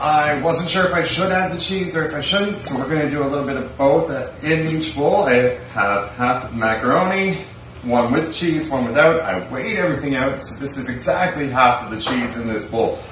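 There is light background noise and audible room echo as a man talks with hardly any pauses. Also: moderate pace. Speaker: food reviewer. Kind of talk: casual vlog chat. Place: home room. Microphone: camera far.

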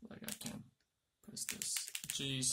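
There is noticeable background noise while a man speaks at a very slow pace. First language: Turkish. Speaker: tech YouTuber; product reviewer. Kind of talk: product unboxing tutorial. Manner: halting. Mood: mildly exasperated, joking. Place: home room. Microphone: phone near.

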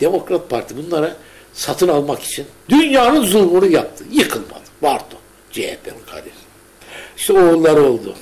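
A man talks at a moderate pace in a high pitch. His pitch swings very widely, with big swings in loudness. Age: 70s. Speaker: journalist, painter and writer; journalist. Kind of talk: casual chat. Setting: at home. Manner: animated. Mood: passionate, sometimes angry. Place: home room.

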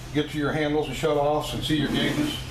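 Noticeable noise runs behind the recording. A man speaks rather quickly. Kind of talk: tutorial. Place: kitchen.

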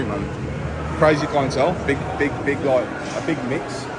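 A man with ordinary pitch variation over loud background noise. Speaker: gym vlogger. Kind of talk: casual vlog chat. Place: gym.

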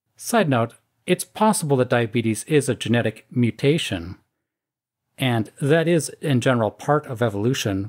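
A man with a normal speaking voice talks at a medium pitch and a moderate pace, with lively intonation and very even loudness. The recording is very clean, with a silent background and a dry, close sound with no echo. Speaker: YouTube commentator. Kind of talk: scripted commentary reading social media posts with sarcastic remarks.

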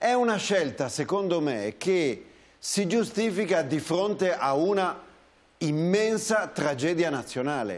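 Very slow, lively intonation from a man with a high pitch and very even loudness. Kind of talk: talk show discussion.

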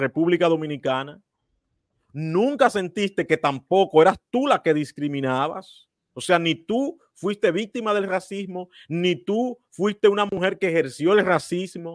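Over a quiet background, a man with a high voice talks fairly slowly with lively intonation, the sound dry with no echo. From Dominican Republic. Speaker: political commentary host. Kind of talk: interview. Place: home room. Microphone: studio mic.

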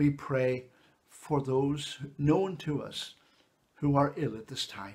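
A man's somewhat breathy voice at a very slow pace, with ordinary pitch variation and big swings in loudness. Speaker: church minister leading service. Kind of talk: fervent intercessory prayer, slow and solemn, with congregational responses. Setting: church service recorded for online video. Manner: earnest, pleading, measured and reverent; slow, rhythmic, pausing for the response. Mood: calm, solemn. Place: home room. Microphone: phone near.

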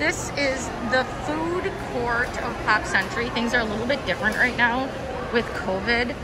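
A woman at a moderate pace with ordinary pitch variation, over loud background noise. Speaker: travel planner vlogger. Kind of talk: tour commentary. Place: hall. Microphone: phone near.

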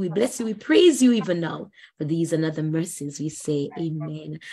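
Her voice is fairly low, somewhat breathy, and dark and mellow in tone, as the woman speaks at a moderate pace with lively intonation. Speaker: evangelist moderating a Bible study. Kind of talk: scripture reading and moderating. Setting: video call.

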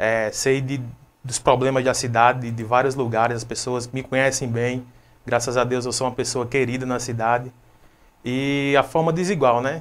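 A man's flat, monotone delivery at a medium pitch. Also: moderate pace. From Brazil, Rio Grande do Norte interior. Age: 20s. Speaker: city council candidate; council candidate, interview guest. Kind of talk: interview; interview answer. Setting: live web TV studio. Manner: hesitant, with many fillers. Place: home room. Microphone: lapel.

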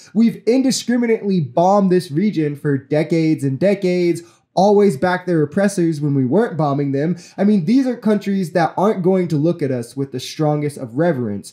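The voice has a dark, mellow tone and an American accent, with lively intonation at a fairly quick pace. There are hardly any pauses, and the background is quiet. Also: man, high pitch for a man. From United States. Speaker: political commentary youtuber. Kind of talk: commentary on news clips. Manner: indignant, profane outburst against rich Americans. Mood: critical, earnest. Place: home room. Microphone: studio mic.

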